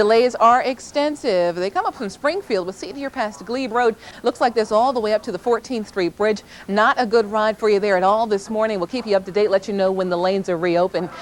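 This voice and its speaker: Fairly quick, fairly high-pitched speech from a woman, with ordinary pitch variation and noticeable background noise. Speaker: traffic reporter. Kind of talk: TV traffic report. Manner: upbeat, fast, professional.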